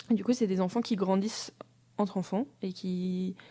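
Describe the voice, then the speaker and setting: On a very clean recording with a silent background, a woman talks at a fairly slow pace in an unremarkable speaking voice with a medium pitch. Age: 20s. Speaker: design student and traveler. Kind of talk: interview. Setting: studio.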